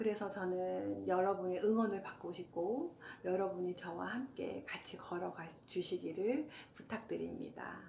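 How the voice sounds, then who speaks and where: Noticeable background noise sits behind a woman speaking at a medium pitch. She talks fairly slowly, with ordinary pitch variation. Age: 50s. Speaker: hiker, walking enthusiast. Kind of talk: casual talk to camera.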